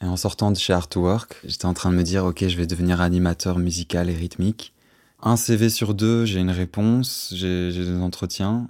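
A man's very deep, low voice, fairly slow and fairly even, on a very clean recording with a silent background. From Brussels, Belgium. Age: 20s. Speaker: drummer and musician. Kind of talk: personal testimony.

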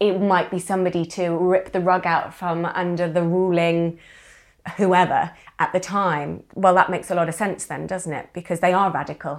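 A woman speaks with a British accent at a medium pitch. Her delivery is fairly quick, in a monotone, flat intonation. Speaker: podcast co-host and writer. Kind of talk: casual interview conversation.

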